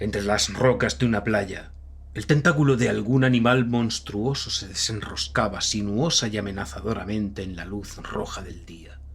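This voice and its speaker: A fairly slow delivery in a Castilian accent. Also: man. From Spain. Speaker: audiobook narrator. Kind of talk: horror audiobook narration.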